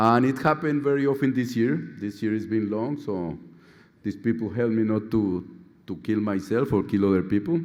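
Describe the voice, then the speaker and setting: With a Colombian accent, a man with a fairly low pitch speaks at a moderate pace and ordinary pitch variation, with audible room echo. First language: Spanish. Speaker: surgeon, outgoing society president. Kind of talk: conference speech. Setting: stage with audience.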